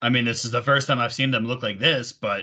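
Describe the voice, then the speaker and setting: Putting on a raspy character voice, a man at a medium pitch speaks at a very fast pace with fairly even intonation. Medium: actual play. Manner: dry, evasive.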